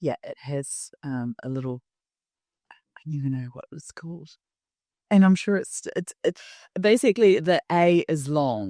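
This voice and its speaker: Her voice is fairly low with a dark, mellow tone, lively intonation and big swings in loudness, broken by long, frequent pauses. The recording is very clean with a silent background and a dry, close sound with no echo. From New Zealand. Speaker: design strategy executive. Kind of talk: podcast interview. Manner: articulate, deliberately clear.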